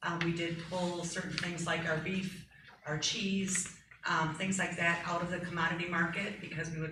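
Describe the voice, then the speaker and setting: A woman with an American accent speaks fairly quickly at a fairly low pitch, in a monotone, flat intonation. Audible room echo and noticeable background noise surround her voice. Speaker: school food service director. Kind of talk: board meeting report. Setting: school board meeting room. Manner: loud.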